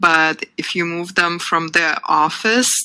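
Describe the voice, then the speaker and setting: The voice is bright and sharp, with a non-native accent. Its intonation stays flat and monotone. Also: woman. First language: not English. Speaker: workshop instructor. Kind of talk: live webinar workshop. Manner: conversational with filler ums.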